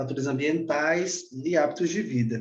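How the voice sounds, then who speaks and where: The room echo is audible. Through it, a man talks at a moderate speed. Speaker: doctor giving a lecture. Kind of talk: lecture. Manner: halting, many fillers and repeats.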